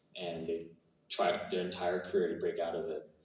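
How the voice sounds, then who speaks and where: At a moderate pace, the voice carries audible room echo. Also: man. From Canada. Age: 20s. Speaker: actor. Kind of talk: Q&A interview. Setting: stage with audience. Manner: hesitant, many fillers.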